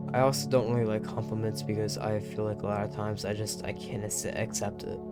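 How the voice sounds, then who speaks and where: Over background music, a man mumbles at a very fast pace in a fairly low pitch. His intonation is lively. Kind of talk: casual personal monologue to camera. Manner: mumbling.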